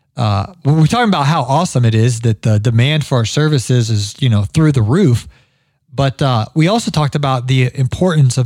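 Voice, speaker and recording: A man with a slight Ohio accent speaks at a moderate pace and medium pitch, with ordinary pitch variation. His tone is animated and enthusiastic, and the recording is very clean with a silent background. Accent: slight Ohio accent showing. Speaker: podcast host, landscaping business owner. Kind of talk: casual interview chat. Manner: animated, enthusiastic.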